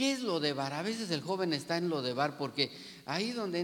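The man's delivery is fairly quick. Lively intonation colors his words. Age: 60s. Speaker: pastor. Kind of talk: sermon; prayer. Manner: halting.

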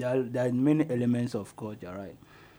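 The voice carries a Ghanaian accent. Its pitch variation is ordinary. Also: man. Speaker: radio host. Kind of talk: live radio talk show. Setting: radio studio, live broadcast.

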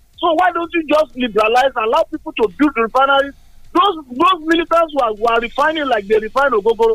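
The voice is bright and sharp in tone, with lively intonation at a very fast pace. The sound is dry and close with no echo. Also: man, extremely high pitch for a man. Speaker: radio caller. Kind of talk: phone-in.

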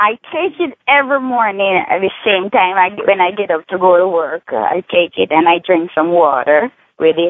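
With a Jamaican accent, a woman speaks at a medium pitch and moderate pace, with lively intonation and hardly any pauses. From Jamaica, Negril, Hanover. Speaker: caller giving product testimonial. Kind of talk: testimony.

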